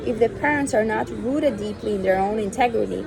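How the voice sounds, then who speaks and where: A woman talks at a moderate pace with a non-native accent. The room echoes audibly, and background noise is noticeable. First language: not English. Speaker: reader of spiritual texts. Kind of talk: reading aloud.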